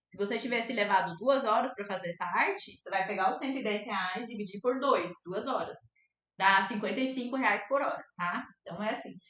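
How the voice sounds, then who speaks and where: With a plain, everyday voice, a woman of fairly high pitch talks at a moderate pace, showing ordinary pitch variation and big swings in loudness. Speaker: art teacher and fluid art painter. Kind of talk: live online class. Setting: livestream.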